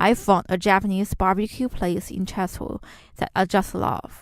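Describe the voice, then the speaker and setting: Speaking slowly-ish at a fairly slow pace, a woman with a Chinese accent uses ordinary pitch variation on a very clean recording with a silent background. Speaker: student podcast host. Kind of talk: scripted narration.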